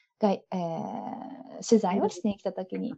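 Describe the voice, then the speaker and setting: With a dark, mellow tone, a woman speaks somewhat breathily at a fairly quick pace. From Japan. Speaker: owner of an import business. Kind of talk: casual interview. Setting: video call.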